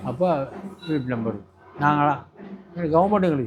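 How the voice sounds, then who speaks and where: A man's fairly high voice is heard against noticeable background noise. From Burma. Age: 80s+. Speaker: war veteran. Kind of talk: interview storytelling. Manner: halting.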